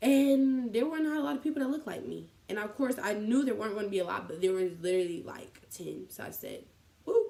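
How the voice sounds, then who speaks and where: With an American accent, a woman speaks very fast at a fairly high pitch, her loudness swinging widely and her pitch moving in very wide swings. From Columbus, Ohio. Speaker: college student vlogger. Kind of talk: casual vlog.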